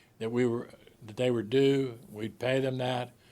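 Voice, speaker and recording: A man at a medium pitch and a moderate pace. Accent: Pittsburgh. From Pittsburgh, western Pennsylvania. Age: 70s. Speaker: sports writer and author. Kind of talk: interview.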